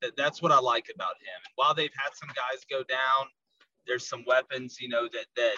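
Speaking with a slight Southern US accent, a man comes through. The sound is dry and close, with no echo. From US South. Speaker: college football podcaster. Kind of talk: casual sports analysis interview.

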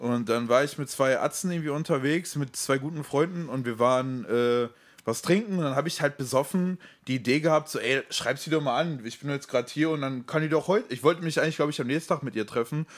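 Over a silent background on a very clean recording, a man speaks very fast. His pitch is fairly high, with ordinary variation. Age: 20s. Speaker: podcast co-host. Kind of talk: casual chat.

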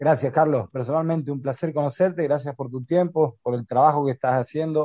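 A man talks at a fairly quick pace with a dark, mellow tone. The sound is dry and close, without echo. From Argentina. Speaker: podcast co-host. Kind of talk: casual chat. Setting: video call.

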